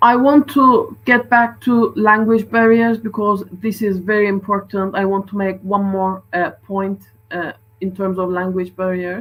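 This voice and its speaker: A woman with a Turkish accent, medium pitch and a fairly slow pace. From Turkey. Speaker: doctor. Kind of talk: conference talk.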